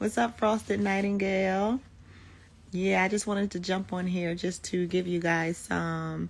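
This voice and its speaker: A woman with a medium pitch and ordinary pitch variation talks at a fairly slow pace, the recording very clean with a silent background. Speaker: baking business coach. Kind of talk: live stream talk to viewers. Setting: at home babysitting, baby napping nearby.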